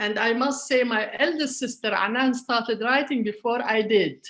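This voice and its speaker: With an Arabic accent, a woman speaks at a moderate pace. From Palestinian, grew up in Jordan. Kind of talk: interview. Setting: online event. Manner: hesitant, many fillers.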